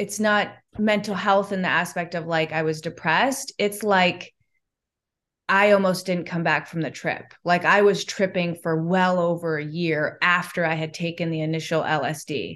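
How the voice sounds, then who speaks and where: Against a quiet background, someone with an American accent speaks at a fairly slow pace with ordinary pitch variation. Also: woman. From US Midwest, Chicago. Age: 40s. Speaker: yoga teacher and skincare business owner. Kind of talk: casual interview chat.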